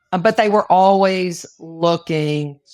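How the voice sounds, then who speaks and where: With a normal speaking voice, a woman at a fairly low pitch talks with ordinary pitch variation in a very clean recording with a silent background. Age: 60s. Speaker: financial advisor, businesswoman. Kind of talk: interview conversation.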